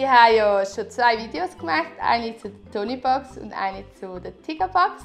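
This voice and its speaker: Music plays in the background as a woman with a Swiss accent talks at a fairly slow pace. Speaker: parenting vlogger. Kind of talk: casual product review talk to camera.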